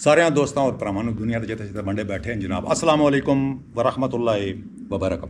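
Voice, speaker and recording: Using a normal speaking voice, a man at a medium pitch talks with lively intonation. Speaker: senior member of a nature conservation foundation. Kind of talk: greeting and introduction to camera.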